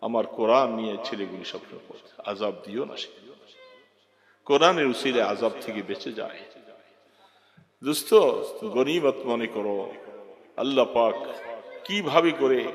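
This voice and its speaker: A man with an unremarkable speaking voice and medium pitch uses lively intonation, his loudness swinging widely. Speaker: Islamic preacher. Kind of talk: religious sermon.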